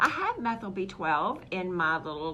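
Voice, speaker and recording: A woman speaks at a moderate pace with a fairly low pitch and ordinary pitch variation, over noticeable background noise and audible room echo. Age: 60s. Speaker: holistic health practitioner. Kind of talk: health talk show monologue. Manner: animated.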